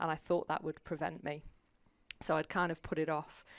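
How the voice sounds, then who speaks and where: On a very clean recording with a silent background, a woman speaks in a very deep, low pitch with monotone, flat intonation. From UK. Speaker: publicist, former navy officer. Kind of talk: interview.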